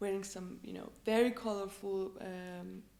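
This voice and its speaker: Her voice has a medium pitch. The woman talks with a non-native accent. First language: not English. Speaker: electronic music artist. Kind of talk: interview. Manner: animated.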